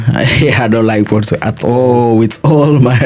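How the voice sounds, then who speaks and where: A man speaks over noticeable background noise. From Guinea-Bissau (Bissau). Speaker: interviewee, African student in Russia. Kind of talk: interview conversation.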